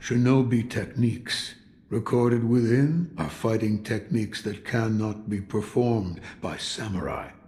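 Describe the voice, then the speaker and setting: A man performs a put-on character voice at medium pitch. He keeps a moderate pace with ordinary pitch variation. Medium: video game. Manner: gruff, terse.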